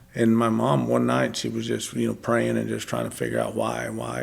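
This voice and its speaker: A man with a West Texas accent talks at a moderate pace. His very deep, low pitch moves in very wide swings. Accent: West Texas cowboy English. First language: Spanish. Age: 40s. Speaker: podcast guest, former cowboy. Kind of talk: testimony.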